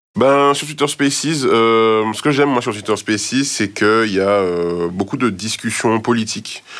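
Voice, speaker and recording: A man's ordinary speaking voice at medium pitch, with ordinary pitch variation, a fairly slow pace and hardly any pauses. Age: 30s. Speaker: product designer. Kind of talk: casual interview.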